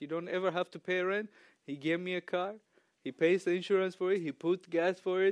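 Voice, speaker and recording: A man speaks with an East African accent, his pitch high for a man. The sound is dry and close, with no echo. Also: quiet background. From Ethiopia, raised in Tanzania. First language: not English. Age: young. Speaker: church member giving sermon. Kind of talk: sermon. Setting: church stage with audience. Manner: casual and humorous.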